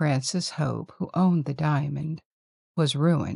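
A woman speaks with a soothing, gentle, dark and mellow tone, somewhat breathy, at a very deep, low pitch. Her pace is fairly slow, and the sound is dry and close with no echo. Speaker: sleep-story narrator. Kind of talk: bedtime story telling. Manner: slow, soothing; gentle, hushed, measured.

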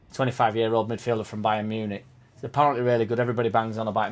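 The speech moves at a very fast pace. Faint music plays in the background. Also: man. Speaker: football fan vlogger. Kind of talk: casual vlog chat. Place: home room. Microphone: webcam.

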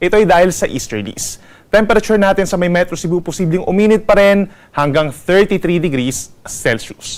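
A high-pitched man with ordinary pitch variation. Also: moderate pace. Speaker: weather forecaster. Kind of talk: weather report. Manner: formal; brisk, informative.

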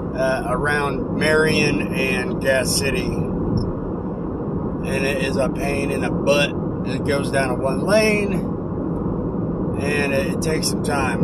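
Through loud background noise, a man speaks with ordinary pitch variation and long, frequent pauses, the sound dry with no echo. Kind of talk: casual vlog chat. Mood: upbeat, playful. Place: car. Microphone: phone near.

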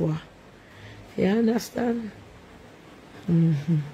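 In a Jamaican accent, the relaxed voice goes at a fairly slow pace over light background noise. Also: woman. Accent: Jamaican, with patois. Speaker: livestream host. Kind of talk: casual live chat reading comments. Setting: at home, livestream. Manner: relaxed, chatty. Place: home room. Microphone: phone near.

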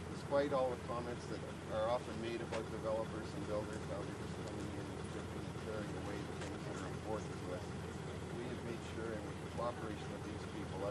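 A man talks at a very fast pace. Loud background noise runs under his voice. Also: dry sound with no echo. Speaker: speaker. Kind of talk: short public speech. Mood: positive, thankful. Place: open country. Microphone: old recording.

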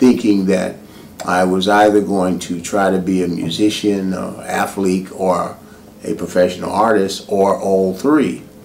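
A fairly low-pitched man with an American accent at a fairly slow pace, amid noticeable background noise. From New York City (Harlem). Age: 50s. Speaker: visual artist. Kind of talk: personal introduction monologue. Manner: hesitant with fillers.

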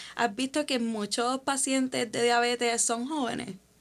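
At a moderate pace, a woman with a high-pitched voice speaks with fairly even intonation. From Puerto Rico. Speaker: podcast host. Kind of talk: interview conversation. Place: studio. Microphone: studio mic.

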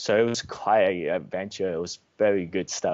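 A man's fairly low voice with an Australian accent. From Australia, rural Victoria. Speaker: trader; guest. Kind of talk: interview. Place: home room. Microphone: video call.

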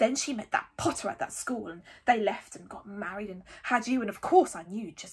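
The delivery is plain reading aloud. Nothing more is added to it.

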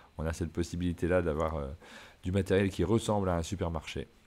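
A man with a very deep, low pitch speaks at a fairly quick pace and fairly even intonation in a very clean recording with a silent background. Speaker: board game podcast host. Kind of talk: casual chat. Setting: trade fair, travel setup.

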